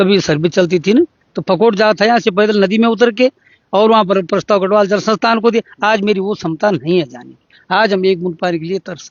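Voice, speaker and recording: A man speaks fairly quickly in a high voice with ordinary pitch variation. His loudness swings widely. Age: 60s. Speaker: villager, former local council member. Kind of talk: interview testimony. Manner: halting.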